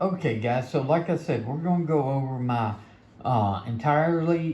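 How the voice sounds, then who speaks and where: Speaking with a Mississippi accent at a moderate pace, a man has a fairly high, somewhat breathy voice. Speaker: knife reviewer. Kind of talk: product review. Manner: casual, conversational.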